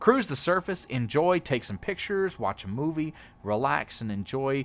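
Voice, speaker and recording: A man with a Texas accent, at a moderate pace, with very wide pitch swings. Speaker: video game streamer / YouTuber. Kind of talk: casual gaming tutorial commentary. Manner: halting, many fillers.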